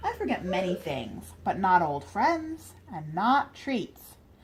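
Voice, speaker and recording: A woman speaks at a medium pitch and a fairly slow pace. She uses a put-on character voice. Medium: read story. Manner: friendly, folksy.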